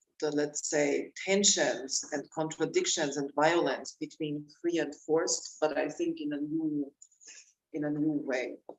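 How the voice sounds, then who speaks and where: The delivery comes at a fairly slow pace. The speaker has a German accent. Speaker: author and researcher. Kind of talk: panel discussion. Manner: halting.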